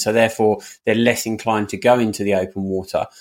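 Someone talks at a very fast pace with a British accent. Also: man. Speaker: podcast host. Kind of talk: casual interview. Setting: remote call.

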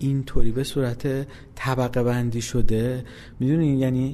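A man with an Isfahani accent, a medium pitch, a dark, mellow tone, and a fairly quick pace. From Iran, Isfahan. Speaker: game company founder. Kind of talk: interview.

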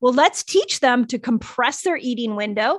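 In an American accent, a woman speaks at a high pitch with an energetic, passionate tone. Her intonation is lively, her pace moderate, and the sound is dry and close with no echo. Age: 50s. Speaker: doctor and fasting educator. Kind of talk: interview.

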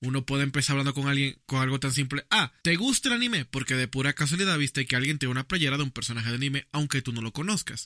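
A man with a fairly high voice talks very fast, with hardly any pauses and ordinary pitch variation. The sound is dry and close, with no echo. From Dominican Republic. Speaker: podcast co-host and video editor. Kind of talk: casual chat.

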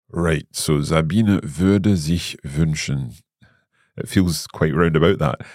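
In a British accent, a man talks at a very slow pace. His pitch is very deep and low, with ordinary variation. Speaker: language podcast host, learner-side. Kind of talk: casual educational chat.

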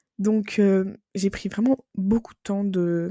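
Dark and mellow, the sound dry and close without any echo. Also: woman. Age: 20s. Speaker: podcaster. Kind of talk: casual monologue. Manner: animated.

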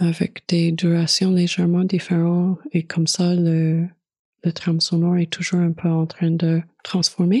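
Somewhat breathy and monotone, the voice moves at a very slow pace with flat intonation and a dry, close sound with no echo. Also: woman. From Manitoba, Canada. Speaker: visual artist. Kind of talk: interview. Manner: hesitant, many fillers.

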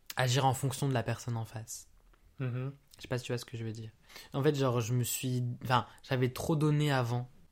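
In a medium pitch and at a fairly quick pace, a man speaks with monotone, flat intonation and long, frequent pauses. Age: 20s. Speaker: podcast host's boyfriend, student. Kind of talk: casual chat. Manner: quiet.

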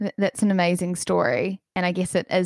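A woman with a plain, everyday voice, fairly low in pitch, at a moderate pace, in a very clean recording with a silent background and a dry, close sound with no echo. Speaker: podcast host. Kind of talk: interview, casual chat.

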